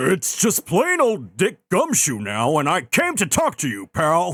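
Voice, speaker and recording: In a dry, close sound with no echo, a put-on character voice moves fairly slowly through very wide pitch swings. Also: man, high pitch for a man. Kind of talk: comic game voice-over. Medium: virtual streamer. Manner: folksy, keeps calling people "pal".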